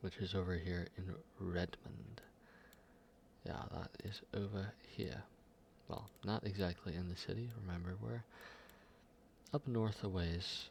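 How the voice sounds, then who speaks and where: Very deep and low in pitch, a man speaks at a fairly slow pace in a calm, somewhat breathy tone, with ordinary pitch variation and long, frequent pauses. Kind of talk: soft-spoken ASMR for sleep and relaxation. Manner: soft-spoken, calm, slow.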